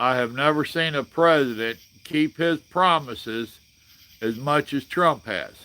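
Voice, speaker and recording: Speaking fairly slowly in a Southern US accent, a man has a fairly high pitch, a bright, sharp tone and ordinary pitch variation. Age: 60s. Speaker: livestream host. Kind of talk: casual chat. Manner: animated.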